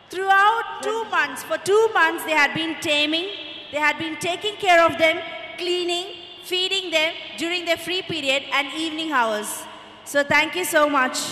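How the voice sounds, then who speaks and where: A woman's raised, projected voice at a moderate pace, with audible room echo and light background noise. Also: ordinary pitch variation. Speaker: teacher or event host. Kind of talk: speech to an audience of parents. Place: stage. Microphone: handheld.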